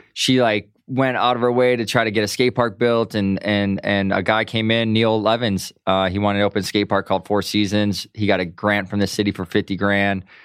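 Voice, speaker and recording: In an American accent, a man speaks with a fairly low pitch, monotone, flat intonation, very even loudness and hardly any pauses. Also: fairly quick pace. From US Midwest, Milwaukee, Wisconsin. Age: 30s. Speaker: pro skateboarder. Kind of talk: casual interview. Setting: studio. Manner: casual, filler-heavy.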